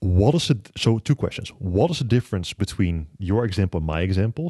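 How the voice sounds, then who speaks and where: Fairly quick speech in a dark, mellow tone comes through with a dry, close sound, no echo and a quiet background. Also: man. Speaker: podcast host. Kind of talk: interview conversation. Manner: halting.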